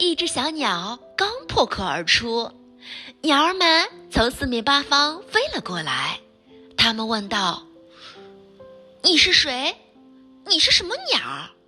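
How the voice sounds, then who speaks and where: Over music in the background, a woman speaks very slowly at a high pitch, with very wide pitch swings and long, frequent pauses. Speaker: storyteller. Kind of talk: children's bedtime story reading. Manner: gentle, playful.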